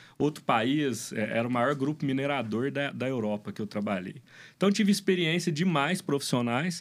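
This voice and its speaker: An ordinary speaking voice from a man, fairly high in pitch, at a moderate pace with lively intonation. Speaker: brewery owner and business consultant. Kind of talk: casual interview.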